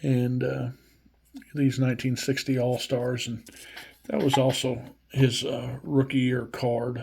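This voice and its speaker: In an American accent, a man speaks at a very slow pace in a medium pitch, somewhat breathy and with monotone, flat intonation. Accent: Midwestern and hillbilly accent combined. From Missouri. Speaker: YouTube collector, vintage baseball cards. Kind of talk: casual vlog show-and-tell. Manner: halting, many fillers.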